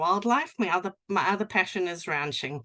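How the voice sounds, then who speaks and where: A South African accent at a moderate pace. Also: woman. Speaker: sheep and cattle rancher, livestock guardian dog expert. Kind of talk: presentation. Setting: online presentation with screen share.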